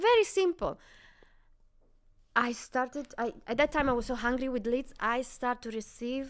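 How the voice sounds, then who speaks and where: A woman's high-pitched voice with an Italian accent, moderate pace and ordinary pitch variation, on a very clean recording with a silent background. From Italy. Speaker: real estate entrepreneur. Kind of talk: interview. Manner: animated.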